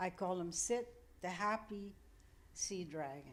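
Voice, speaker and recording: A woman talks at a very slow pace with ordinary pitch variation. Room echo is audible. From Netherlands. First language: Dutch. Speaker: artist, member of the public. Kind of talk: public comment at council meeting.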